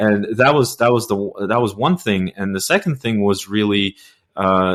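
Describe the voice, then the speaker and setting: This man has a Russian accent, a fairly low pitch and ordinary pitch variation. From Russia (Soviet Union). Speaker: podcast host, news editor. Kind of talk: interview. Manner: halting, many repetitions.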